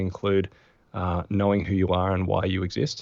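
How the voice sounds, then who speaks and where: At a moderate pace, a man talks in a fairly low pitch with an Australian accent against a quiet background. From Australia, Adelaide. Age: 40s. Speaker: productivity expert and former physiotherapist. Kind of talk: podcast interview.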